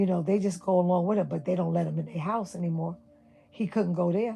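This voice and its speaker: With music in the background, a woman speaks at medium pitch with fairly even intonation in a New York accent. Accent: New York City. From New York City (Brooklyn). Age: 60s. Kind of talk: livestream rant.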